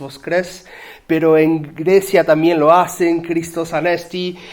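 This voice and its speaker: Speaking at a very slow pace, the man has a fairly high voice. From Uruguay. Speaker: pastor. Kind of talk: sermon. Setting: church.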